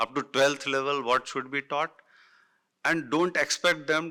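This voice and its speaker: On a very clean recording with a silent background, a man speaks in a fairly high pitch and a bright, sharp tone with ordinary pitch variation. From northern India. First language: Hindi. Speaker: education panelist. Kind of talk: panel talk. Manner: halting, many fillers.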